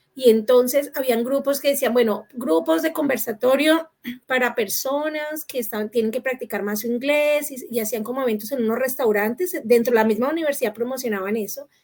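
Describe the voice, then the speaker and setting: A woman's high-pitched voice in a Latin American accent, fairly quick with hardly any pauses and ordinary pitch variation. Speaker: panel moderator. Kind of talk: panel discussion.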